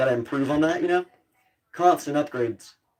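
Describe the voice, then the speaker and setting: With an American accent, a fairly high-pitched man talks at a very fast pace in a dark, mellow tone. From US South. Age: 18. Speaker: streamer and cosplay maker. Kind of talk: live stream chat. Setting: live stream, wearing a helmet at times. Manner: casual, rambling with fillers.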